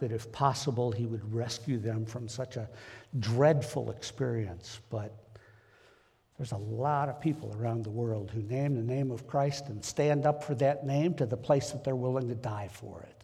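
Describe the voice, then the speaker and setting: A man with a medium pitch, somewhat breathy, in a dark, mellow tone. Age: 70s. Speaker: lay preacher. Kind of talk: sermon. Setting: church. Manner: halting.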